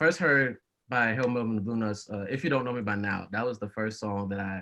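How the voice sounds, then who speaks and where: Speaking at a very fast pace, a man has a medium pitch, a bright, sharp tone and ordinary pitch variation. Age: 20s. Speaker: college student and music fan. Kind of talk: casual podcast interview.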